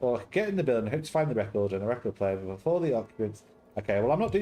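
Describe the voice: A plain read-aloud delivery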